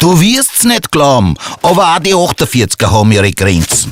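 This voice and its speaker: A man with a Viennese accent speaks at a medium pitch, with very wide pitch swings. The sound is dry and close, with no echo. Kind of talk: rhyming dialect verses in explainer video.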